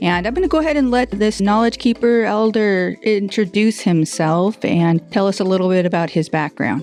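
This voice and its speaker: Over music in the background, the speaker keeps a moderate pace with hardly any pauses, lively intonation and very even loudness. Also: woman, medium pitch for a woman. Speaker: podcast host. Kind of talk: podcast interview questions.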